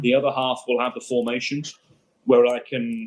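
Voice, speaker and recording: With an English accent, a man talks at a medium pitch with ordinary pitch variation. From Birmingham, England. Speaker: football commentator. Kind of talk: interview answer.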